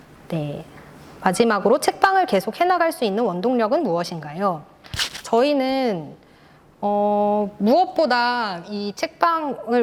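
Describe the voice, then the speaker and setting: Speaking very slowly, a woman with a fairly high pitch makes very wide pitch swings. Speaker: independent bookstore owner and writer. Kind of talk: presentation with Q&A. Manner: halting.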